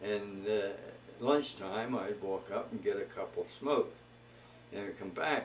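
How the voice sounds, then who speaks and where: A man's American-accented voice, paced moderately, comes through with noticeable background noise behind it. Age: 80s+. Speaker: grandfather telling life story. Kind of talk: oral history interview. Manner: halting, many fillers.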